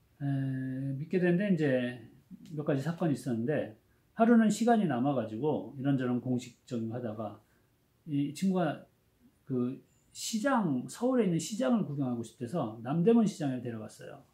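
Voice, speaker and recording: A man speaks at a fairly high pitch in a dark, mellow, somewhat breathy tone, with very wide pitch swings. He keeps a moderate pace, broken by long, frequent pauses. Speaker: education professor. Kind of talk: lecture. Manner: casual, conversational storytelling.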